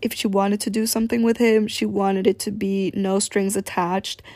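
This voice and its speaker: A woman speaks at a medium pitch in an unremarkable speaking voice, on a very clean recording with a silent background. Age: young. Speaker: podcast host. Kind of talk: casual storytelling monologue. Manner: laughing often.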